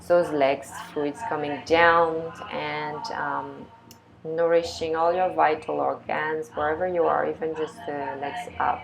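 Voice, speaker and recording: Noticeable background noise fills the recording. A woman speaks very slowly over it. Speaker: yoga teacher. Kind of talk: guided yoga class.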